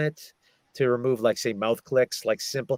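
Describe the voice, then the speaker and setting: An unremarkable speaking voice with an American accent and ordinary pitch variation, dry and close with no echo. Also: man. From American, Massachusetts. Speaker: audiobook narrator and voice actor. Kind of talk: casual interview answer about audiobook industry.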